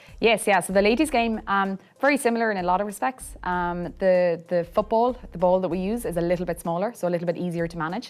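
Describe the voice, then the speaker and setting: In an Irish accent, the speaker talks at a very fast pace with hardly any pauses and ordinary pitch variation. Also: woman, medium pitch for a woman. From Ireland, County Mayo (west coast). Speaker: Gaelic football club founder. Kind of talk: interview. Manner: hesitant, many fillers.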